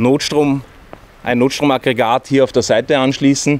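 A man's medium-pitched voice comes through dry, with no echo. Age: 40s. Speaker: van builder. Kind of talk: product walkthrough. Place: street.

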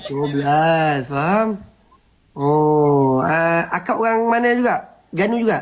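A man with a fairly high pitch talks at a very slow pace. His intonation is lively. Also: very even loudness. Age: 20s. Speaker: TikTok live streamer. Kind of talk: casual chat.

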